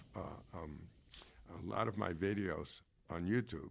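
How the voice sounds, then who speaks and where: Speaking at a fairly slow pace with an American accent, a man uses a very deep, low pitch with vocal fry. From New York City, the Bronx. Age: 70s. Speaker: musician. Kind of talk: casual chat. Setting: studio.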